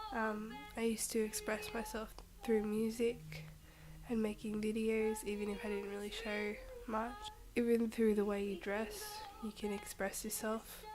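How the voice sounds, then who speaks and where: Soft-spoken and monotone, a woman with a fairly high voice talks at a moderate pace with long, frequent pauses, amid audible room echo and noticeable background noise. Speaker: vlogger. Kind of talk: casual vlog monologue. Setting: at home.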